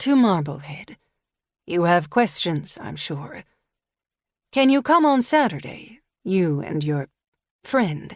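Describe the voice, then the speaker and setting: A female-sounding, husky put-on character voice at a fairly low pitch swings very widely in pitch. It moves at a fairly slow pace with long, frequent pauses in a very clean recording with a silent background. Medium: read story. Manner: measured, commanding.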